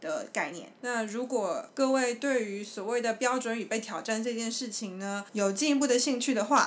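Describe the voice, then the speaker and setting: A woman's medium-pitched voice in a Taiwanese accent, with ordinary pitch variation, noticeable background noise and audible room echo. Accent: Taiwanese Mandarin. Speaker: podcast host. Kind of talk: casual chat; explanatory discussion of research.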